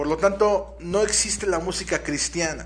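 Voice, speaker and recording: Over noticeable background noise, a man speaks at a moderate pace in an animated tone. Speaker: radio host. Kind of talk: casual chat. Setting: studio.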